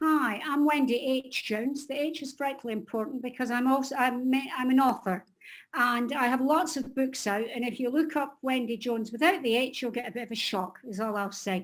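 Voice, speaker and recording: Speech comes at a fairly quick pace in a very clean recording with a silent background. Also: woman, high pitch for a woman, ordinary pitch variation. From Scotland. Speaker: editor and publisher. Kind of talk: casual group video chat introduction.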